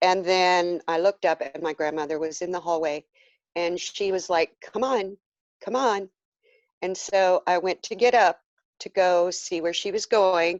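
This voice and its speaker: A woman's normal speaking voice at medium pitch, fairly slow, with ordinary pitch variation and a dry, close sound with no echo. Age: 60s. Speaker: near-death experience survivor. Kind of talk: interview testimony.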